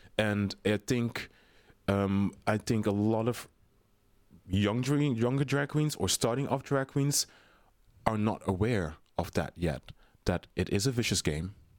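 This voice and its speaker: A man in a Dutch accent, fairly low in pitch, with lively intonation, very even loudness, a fairly slow pace and long, frequent pauses. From Netherlands. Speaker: drag queen performer. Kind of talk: casual interview chat. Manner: filler-heavy, chatty.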